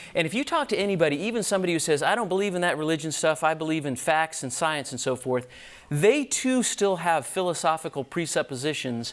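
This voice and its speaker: The delivery comes at a very fast pace with lively intonation. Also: man, fairly high pitch for a man. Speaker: physician teaching a church apologetics class. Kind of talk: lecture.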